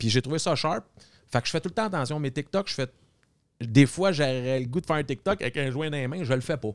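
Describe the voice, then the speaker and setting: A man with a Quebec accent talks at a very fast pace, his pitch fairly high, with long, frequent pauses. The sound is dry and close with no echo, on a very clean recording with a silent background. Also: ordinary pitch variation. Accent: Québécois French. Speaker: TikToker. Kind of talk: casual chat.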